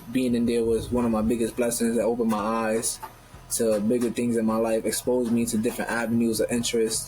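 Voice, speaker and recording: A man with a Northeastern US accent at medium pitch and a fairly quick pace, monotone and flat in intonation, with music in the background. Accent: Northeastern US urban. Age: 20s. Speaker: professional boxer. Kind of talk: interview conversation.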